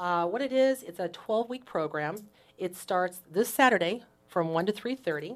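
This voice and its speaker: A woman with a plain, everyday voice, medium pitch and lively intonation at a moderate pace. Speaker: mental health advocate. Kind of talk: interview. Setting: radio studio.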